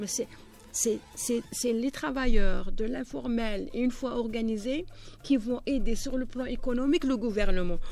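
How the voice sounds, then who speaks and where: A woman speaks at a fairly slow pace in a fairly high voice. Her pitch varies in an ordinary way. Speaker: trade union activist. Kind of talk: radio interview. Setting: radio studio. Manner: halting, many repetitions.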